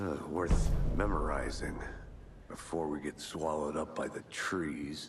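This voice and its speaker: A man's put-on character voice over clear background noise. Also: moderate pace. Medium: video game. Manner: dry, terse.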